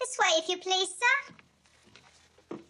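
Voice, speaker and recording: Squeaky and extremely high-pitched, a woman speaks in a put-on character voice. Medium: short film. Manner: guarded, evasive.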